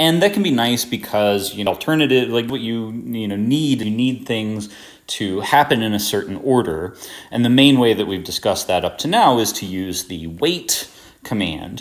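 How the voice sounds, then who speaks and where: At a moderate pace, a man with an unremarkable speaking voice talks at medium pitch with lively intonation. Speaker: tutor. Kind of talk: tutorial. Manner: casual with many fillers.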